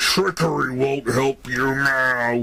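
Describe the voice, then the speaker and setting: Over clear background noise, a put-on character voice holds fairly even intonation. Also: man. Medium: audio drama. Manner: cold, smug.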